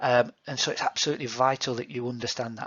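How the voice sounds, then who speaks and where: With a Yorkshire accent, a man talks at a very fast pace in a medium pitch. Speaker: PE teacher. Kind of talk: recorded feedback to students. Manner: hesitant, many fillers.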